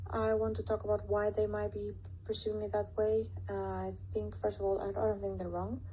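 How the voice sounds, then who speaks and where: Very deep and low in pitch, this woman's voice has a dark, mellow tone and is somewhat breathy. She speaks at a fairly quick pace in a monotone, flat way. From Latin America. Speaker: student. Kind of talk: class presentation. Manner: hesitant, with fillers.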